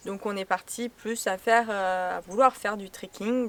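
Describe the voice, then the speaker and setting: A woman uses an ordinary speaking voice at a medium pitch. She speaks at a fairly slow pace with fairly even intonation. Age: 20s. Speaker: travel vlogger. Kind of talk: casual chat.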